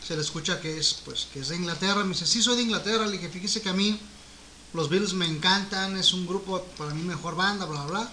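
Through noticeable background noise, a man with a Mexican accent speaks very fast in a raised, projected voice, high in pitch with fairly even intonation. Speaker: musician and co-host. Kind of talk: casual chat about music. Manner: explanatory, hesitant with fillers.

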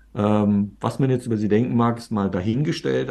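The man's voice sits fairly low, with a dark, mellow tone. His pitch varies in an ordinary way. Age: 50s. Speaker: serial entrepreneur, media startup founder. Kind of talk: interview conversation.

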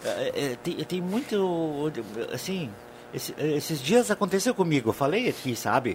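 A man at a moderate pace with very wide pitch swings, over noticeable background noise. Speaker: radio panelist. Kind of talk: casual chat.

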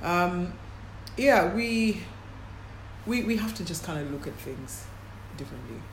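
Amid audible room echo and noticeable background noise, a woman with a fairly low pitch talks at a fairly slow pace with long, frequent pauses, very wide pitch swings and big swings in loudness. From Kenya, Nairobi. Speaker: sports agency founder. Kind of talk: interview. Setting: in London, noisy location.

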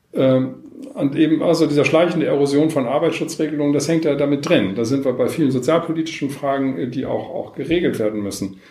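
A man's fairly high-pitched voice with a dark, mellow tone, a fairly quick pace, ordinary pitch variation and audible room echo. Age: 50s. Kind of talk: interview. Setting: in person at guest's location, not studio.

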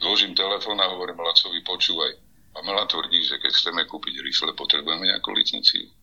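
Delivery is extremely rapid. Background noise can clearly be heard. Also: man. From eastern Slovakia. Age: old. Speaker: construction worker. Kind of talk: interview.

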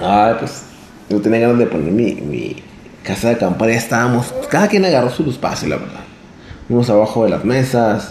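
A man's medium-pitched voice at a fairly quick pace, with ordinary pitch variation, noticeable background noise and audible room echo. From Torreón, Coahuila, northern Mexico. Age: 20s. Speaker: vlogger. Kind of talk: storytelling monologue. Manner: halting, many fillers.

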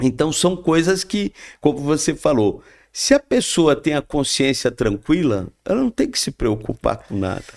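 The voice has vocal fry and very wide pitch swings, moving at a fairly slow pace. The sound is dry and close with no echo, on a very clean recording with a silent background. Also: man, fairly high pitch for a man. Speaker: spiritist speaker. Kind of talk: casual chat.

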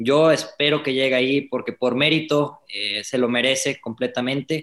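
A man speaks at a medium pitch with fairly even intonation, in an ordinary speaking voice. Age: 20s. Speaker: racing driver. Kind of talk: interview.

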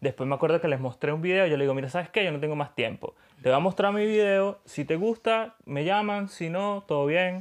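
A man talks in a high pitch at a fairly quick pace. He leaves hardly any pauses, and his pitch varies in an ordinary way. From Venezuela. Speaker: graphic designer. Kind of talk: casual chat.

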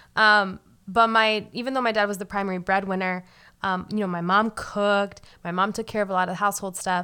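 The voice is bright and sharp, flat and monotone, moving at a fairly quick pace on a very clean recording with a silent background. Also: woman, medium pitch for a woman. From US Northeast. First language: Spanish. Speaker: podcast co-host. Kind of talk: casual conversational podcast.

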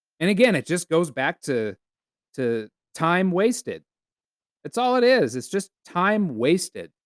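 Pitched high for a man and swinging very widely, this man's voice moves at a fairly slow pace with long, frequent pauses, the sound dry and close with no echo. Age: 40s. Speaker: podcast host. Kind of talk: solo monologue. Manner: casual, animated.

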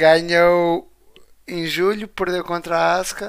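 A man speaks with a European Portuguese accent. His voice is high in pitch. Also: very clean recording, silent background. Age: 20s. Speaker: wrestling podcast co-host. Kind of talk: casual chat.

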